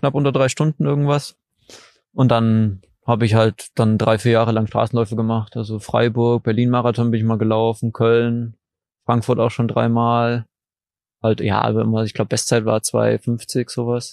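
The sound is dry and close with no echo. A man speaks at a moderate pace with monotone, flat intonation. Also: medium pitch for a man, quiet background. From Saxony, Dresden. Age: 20s. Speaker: trail runner. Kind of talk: casual interview. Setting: outdoors by a lake.

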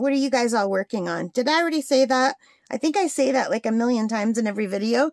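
A woman with a high pitch, very fast delivery and ordinary pitch variation, in a dry sound with no echo over a quiet background. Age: 50s. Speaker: crafting YouTuber. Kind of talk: casual chat. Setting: home craft desk. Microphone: phone near.

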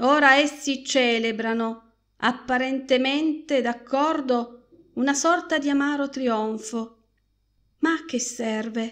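In a dramatic, solemn tone, a woman speaks very slowly with a high voice and fairly even intonation. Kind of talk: scripted narration, audiobook reading of a literary short story.

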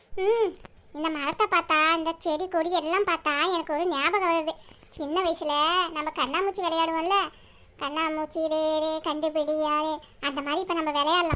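A cartoonish character voice from a woman, extremely high in pitch, with fairly even intonation and a fairly slow pace. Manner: teasing, chatty.

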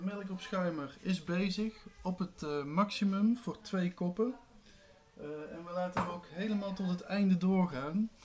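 A man talks at a fairly slow pace with a high pitch and ordinary pitch variation. Light background noise is present. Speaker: video blogger; home drink demonstrator. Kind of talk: tutorial; casual tutorial. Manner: casual, with frequent fillers. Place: kitchen. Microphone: camera far.

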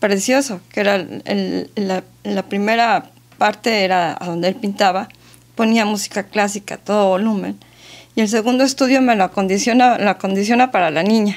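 The pitch moves with ordinary variation. A woman is speaking, her pace moderate. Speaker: interview guest. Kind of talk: interview answer. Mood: warm, amused. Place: studio. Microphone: studio mic.

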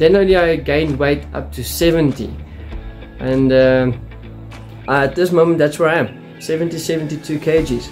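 At a moderate pace, a man speaks over faint background music. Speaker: home gym vlogger. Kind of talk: casual vlog chat. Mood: candid, self-deprecating. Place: home room. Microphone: phone near.

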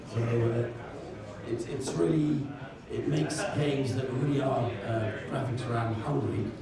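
A man speaks over loud background noise, with audible echo in the room. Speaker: software company speaker. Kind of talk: conference talk with audience Q&A. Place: hall. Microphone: camera far.

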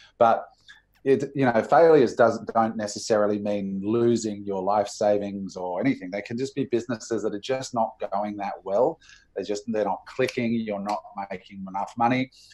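Speaking with an Australian accent, a man keeps a moderate pace, a fairly low pitch and fairly even intonation. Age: 40s. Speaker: entrepreneur and business coach. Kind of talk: interview.

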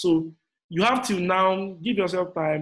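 The speaker is a man going at a fairly slow pace. The background stays quiet. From Nigeria. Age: 30s. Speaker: motivational speaker and business coach; motivational speaker, business coach. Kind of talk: motivational talk. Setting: online live session. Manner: animated. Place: home room. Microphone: webcam.

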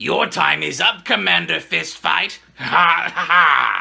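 Speaking at a fairly slow pace, a man puts on a cartoonish character voice. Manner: menacing, theatrical evil laugh.

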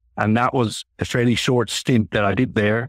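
On a very clean recording with a silent background and a dry, close sound free of echo, a man with a Finnish accent speaks at a moderate pace in monotone, flat intonation. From Finland. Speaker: corporate treasurer. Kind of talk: interview. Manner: halting.

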